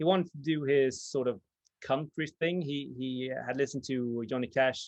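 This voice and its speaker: In a dry, close sound with no echo and a quiet background, a man speaks at a fairly high pitch with fairly even intonation. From Sweden. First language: Swedish. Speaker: vinyl video channel host. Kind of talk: casual chat. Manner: halting, many fillers.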